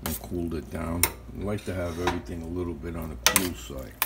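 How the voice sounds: A man talks with a low pitch. Background noise is clearly heard.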